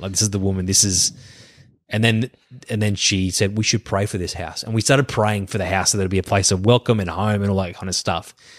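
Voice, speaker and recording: Speaking very fast with an Australian accent, a man keeps a fairly low pitch and fairly even intonation on a very clean recording with a silent background. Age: 30s. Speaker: pastor. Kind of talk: casual chat.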